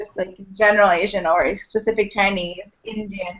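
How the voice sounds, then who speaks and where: Speaking in an American accent, a woman keeps a fairly quick pace. Her pitch is medium and her intonation fairly even. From United States. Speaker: student union officer. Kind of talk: informational talk. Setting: video call.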